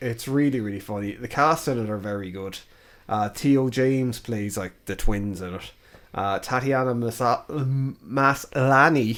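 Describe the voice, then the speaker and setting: An Irish-accented speaker talks at a fairly slow pace, with ordinary pitch variation and big swings in loudness. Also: man. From Ireland. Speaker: podcast co-host. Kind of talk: casual chat. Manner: casual, informal.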